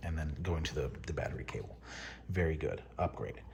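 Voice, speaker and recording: Whispering with vocal fry, a man speaks at a fairly slow pace. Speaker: paintball hobbyist. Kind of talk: product overview talk to camera. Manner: whispered.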